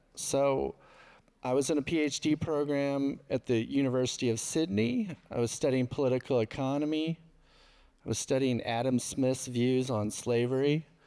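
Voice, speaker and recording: At a moderate pace, a voice with a dark, mellow tone comes through a very clean recording with a silent background. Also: man, medium pitch for a man, fairly even intonation, very even loudness. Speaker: researcher. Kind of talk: panel discussion. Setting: stage with audience. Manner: soft-spoken.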